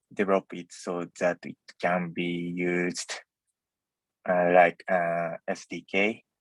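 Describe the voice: With a dry, close sound and no echo, a man talks at a slow pace in a low pitch.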